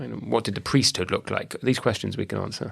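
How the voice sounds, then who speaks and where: A man speaks with a British accent. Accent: British Isles. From British Isles. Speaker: podcast host, academic. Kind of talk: interview podcast.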